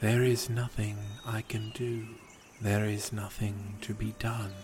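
Over clear background noise, a man puts on a character voice at a medium pitch, speaking at a fairly slow pace in a monotone, flat delivery. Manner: sighing, melancholy, self-deprecating.

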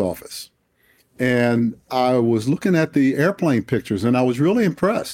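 With an American accent, a man has an ordinary speaking voice at a medium pitch with ordinary pitch variation, speaking at a moderate pace in a very clean recording with a silent background. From Washington, D.C. (Southeast, inner city). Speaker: retired air force general and author. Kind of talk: interview.

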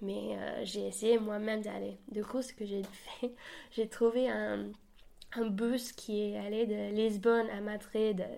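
A woman with a New Zealand accent, speaking very slowly. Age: 20s. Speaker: university student. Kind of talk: interview.

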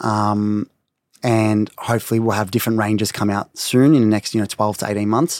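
Medium-pitched and fairly quick, a man is recorded very cleanly against a silent background, with a dry, close sound and no echo. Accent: Australian. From Melbourne, Australia. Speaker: beauty brand co-founder. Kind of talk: casual interview.

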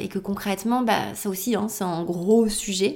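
A woman's medium-pitched voice comes through with fairly even intonation. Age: 30s. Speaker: podcast host and yoga teacher. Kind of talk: solo reflective monologue. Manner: hesitant, with fillers and repetitions.

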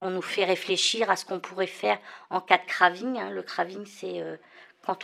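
A woman at a moderate pace with big swings in loudness. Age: 50s. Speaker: patient recovering from alcoholism. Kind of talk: testimony.

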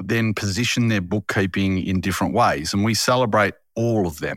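Speaking with an Australian accent, a man moves at a fairly quick pace. His pitch variation is ordinary. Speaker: podcast host. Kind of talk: interview. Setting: remote recording.

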